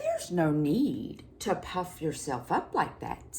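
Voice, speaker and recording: Someone uses a put-on character voice at a fairly slow pace. Clear background noise runs underneath. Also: female-sounding voice, medium pitch for a woman. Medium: read story.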